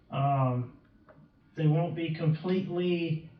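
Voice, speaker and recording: With audible room echo around him, a man speaks at a fairly high pitch. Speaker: police chief. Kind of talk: council meeting report. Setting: city council meeting.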